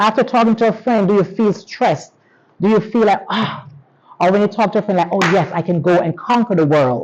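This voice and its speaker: Speaking with a Jamaican accent, a woman uses an animated tone, medium pitch, ordinary pitch variation, very even loudness and a fairly quick pace. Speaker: teacher giving pep talk. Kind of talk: motivational talk to students. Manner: animated, interactive.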